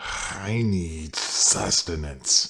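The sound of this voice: A raspy, put-on character voice. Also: man.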